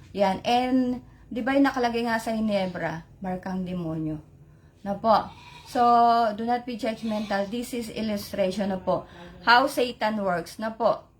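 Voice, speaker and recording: At a fairly slow pace, a woman talks in a fairly high, somewhat breathy voice with ordinary pitch variation. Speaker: lay preacher. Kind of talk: religious sharing on live stream. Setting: Facebook live stream. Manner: code-switching Tagalog-English, halting with fillers.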